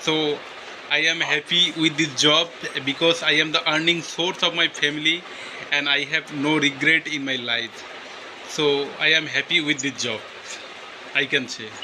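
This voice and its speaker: A man with a Bengali accent, fairly even intonation and long, frequent pauses, over noticeable background noise. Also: fairly high pitch for a man, moderate pace. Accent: Bengali-accented Indian English. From West Bengal, India. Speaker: English learner. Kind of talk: casual chat.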